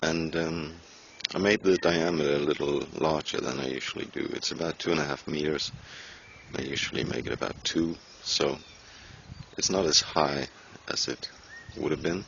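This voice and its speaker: A man with a Danish accent and a very deep, low pitch speaks at a moderate pace with fairly even intonation and long, frequent pauses, over noticeable background noise. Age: 30s. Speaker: hobby gardener and woodworker vlogger. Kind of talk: casual vlog.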